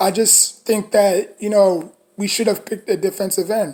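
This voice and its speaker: In a New York accent, a woman speaks at a moderate pace with a fairly high pitch. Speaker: sports fan commentator. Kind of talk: casual monologue reaction video. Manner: hesitant, many fillers and restarts.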